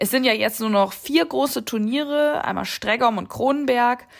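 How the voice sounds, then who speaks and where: A woman's voice with very wide pitch swings on a very clean recording with a silent background. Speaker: podcast host and amateur eventing rider. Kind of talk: casual interview chat.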